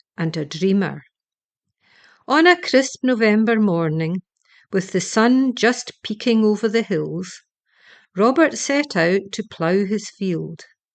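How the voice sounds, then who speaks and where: A woman speaks at a medium pitch with lively intonation. Her pace is fairly slow. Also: long, frequent pauses. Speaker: storyteller. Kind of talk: children's bedtime story reading.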